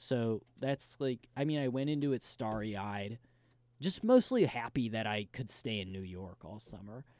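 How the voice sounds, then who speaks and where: A man at medium pitch speaks at a moderate pace with ordinary pitch variation and big swings in loudness, in a very clean recording with a silent background. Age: 20s. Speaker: former intern. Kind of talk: casual interview. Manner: halting.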